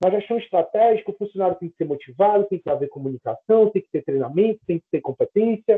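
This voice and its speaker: Talking at a very fast pace with hardly any pauses, a man uses a high pitch, lively intonation and big swings in loudness. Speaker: teacher. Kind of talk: lecture.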